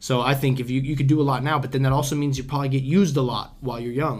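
A man speaks at a very fast pace in a medium pitch. His voice is somewhat breathy. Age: 20s. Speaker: podcast host. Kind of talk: casual chat. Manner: animated.

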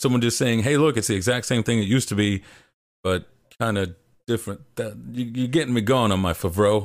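With an unremarkable speaking voice, a man talks at a fairly quick pace and medium pitch with ordinary pitch variation, on a very clean recording with a silent background. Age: 20s. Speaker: video essayist and game critic. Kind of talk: casual chat. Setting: live stream with chat.

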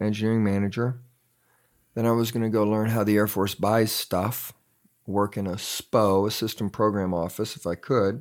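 A plain, everyday voice from a man with an American accent, fairly low in pitch, on a very clean recording with a silent background. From grew up around the world as army child, mostly San Antonio, Texas. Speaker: entrepreneur, engineer. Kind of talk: interview.

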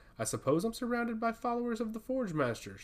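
In a put-on character voice, the speaker talks at a very fast pace and a fairly high pitch. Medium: read story. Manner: dry, quipping.

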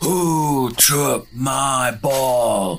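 Against clear background noise, a man at a medium pitch performs a put-on character voice. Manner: wailing.

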